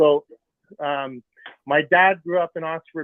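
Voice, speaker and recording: A man speaks in a Montreal accent. His pitch variation is ordinary. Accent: Canadian English, Montreal. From Montreal, West Island. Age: 60s. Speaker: caller, hockey fan. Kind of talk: phone call-in.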